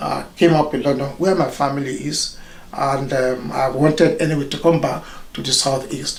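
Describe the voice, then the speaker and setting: Speaking at a moderate pace with fairly even intonation, a man with a Nigerian accent has a fairly high pitch, heard over noticeable background noise and audible room echo. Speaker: doctor, consultant radiologist. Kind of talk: interview.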